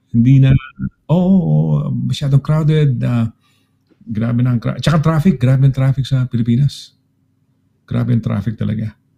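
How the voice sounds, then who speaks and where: Recorded with a dry, close sound and no echo, a man of medium pitch speaks with a dark, mellow, somewhat breathy tone, lively intonation, and long, frequent pauses. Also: moderate pace. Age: 60s. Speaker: radio host. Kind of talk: casual chat.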